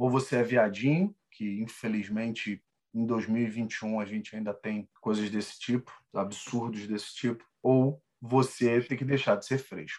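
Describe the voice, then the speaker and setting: A man in a normal speaking voice at a fairly slow pace. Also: medium pitch for a man, fairly even intonation. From Rio de Janeiro. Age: 30s. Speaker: salesperson. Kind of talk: casual chat.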